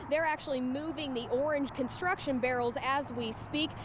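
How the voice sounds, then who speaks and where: A woman with an American accent, high in pitch, at a moderate pace with ordinary pitch variation, over noticeable background noise. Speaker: television news reporter. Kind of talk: TV news reporter live report. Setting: outdoors, live on location.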